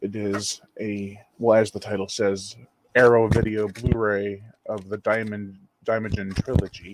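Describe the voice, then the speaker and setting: A man's quiet voice at a fairly slow pace, with monotone, flat intonation. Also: fairly low pitch for a man. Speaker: horror film channel host. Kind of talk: live unboxing video. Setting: at home, someone in the next room. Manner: quiet, hushed.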